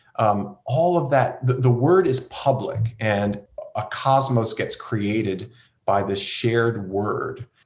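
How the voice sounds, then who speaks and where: A man speaks at a very slow pace with a medium pitch. His pitch variation is ordinary. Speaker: seminary professor and pastor. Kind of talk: interview conversation.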